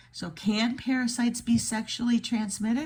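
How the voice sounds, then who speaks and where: A woman speaks at a fairly slow pace in a dark, mellow tone with vocal fry. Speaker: video creator. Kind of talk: screen-share commentary reading aloud.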